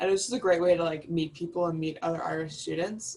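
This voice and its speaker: A woman speaks with an American accent at a fairly low pitch. She has an unremarkable speaking voice and fairly even intonation. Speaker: study abroad alumna, student designer. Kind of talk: casual panel talk. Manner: casual, many fillers.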